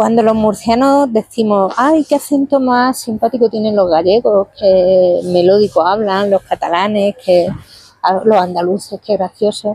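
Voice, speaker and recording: A woman's medium-pitched voice, dark and mellow in tone, at a fairly slow pace with very even loudness, ordinary pitch variation, and a dry, close sound with no echo. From Spain, Murcia region (Lorca). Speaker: novelist. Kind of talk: interview. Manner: hesitant, self-correcting.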